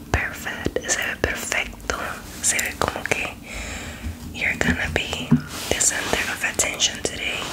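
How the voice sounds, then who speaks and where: Loud background noise fills the recording. The speaker keeps a moderate pace broken by long, frequent pauses. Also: woman. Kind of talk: bilingual roleplay makeup tutorial chat. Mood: warm, playful, soothing. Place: home room. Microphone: phone near.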